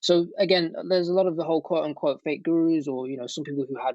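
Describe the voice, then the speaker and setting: This man talks at a very fast pace with a British accent. His pitch is fairly high, with ordinary pitch variation. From Britain. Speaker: ecommerce entrepreneur and online teacher. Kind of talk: interview.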